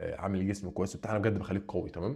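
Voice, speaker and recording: In an Egyptian accent, a man speaks with a dark, mellow tone that is somewhat breathy. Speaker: fitness coach and vlogger. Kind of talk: casual vlog talk. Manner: animated, casual.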